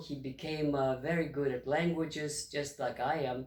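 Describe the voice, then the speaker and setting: A man speaks in a Russian accent. His pitch is fairly high. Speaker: retired history professor. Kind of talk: history lecture to camera.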